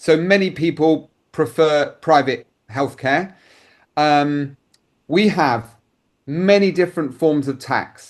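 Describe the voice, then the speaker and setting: A man with a British accent and a fairly high pitch, at a very slow pace, with ordinary pitch variation and long, frequent pauses. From United Kingdom. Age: 60s. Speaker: insurance advisor. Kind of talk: interview answer.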